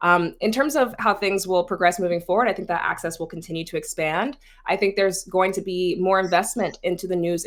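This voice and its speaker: Speaking fairly quickly, a woman uses a normal speaking voice. Her pitch is medium, with ordinary variation. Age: 20s. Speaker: content creator and news influencer. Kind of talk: panel discussion. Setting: video call.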